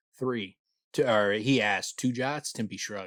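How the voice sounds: A natural reading voice, ordinary pitch variation, and a quiet background.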